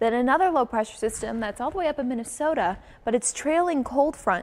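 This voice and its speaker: A woman uses an ordinary speaking voice at a moderate pace, with ordinary pitch variation. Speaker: TV meteorologist. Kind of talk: TV weather montage.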